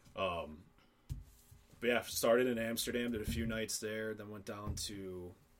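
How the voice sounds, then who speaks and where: In a Midwestern American accent, the speaker goes at a fairly slow pace with long, frequent pauses, fairly even intonation and big swings in loudness. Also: man, fairly low pitch for a man. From Northern Illinois. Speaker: college athlete and traveler. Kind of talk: casual chat.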